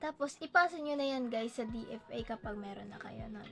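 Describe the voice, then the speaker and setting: A woman speaks with ordinary pitch variation while music plays in the background. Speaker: YouTuber. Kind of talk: tutorial. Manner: halting; louder than usual.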